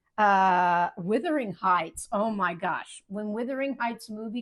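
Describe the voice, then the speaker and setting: A woman's medium-pitched voice at a fairly slow pace, on a very clean recording with a silent background. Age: 60s. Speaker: cooking channel host and novelist. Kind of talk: casual monologue to camera. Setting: home kitchen. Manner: halting, with fillers.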